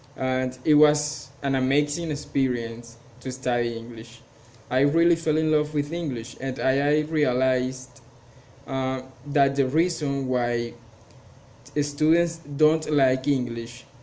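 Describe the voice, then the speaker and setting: In a room with audible echo, a man with a fairly high voice speaks very slowly with fairly even intonation. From Colombia, Cartagena. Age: 20s. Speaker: English student and teacher. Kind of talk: class presentation. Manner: halting, many fillers.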